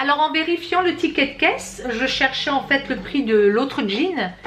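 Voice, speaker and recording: The voice is loud, with lively intonation. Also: woman. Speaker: fashion haul youtuber. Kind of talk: product review. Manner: casual. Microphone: far from the camera.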